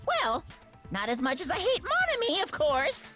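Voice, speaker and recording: A put-on character voice, pitched extremely high with very wide swings. It moves at a moderate pace over faint music in the background. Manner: mocking, gleeful.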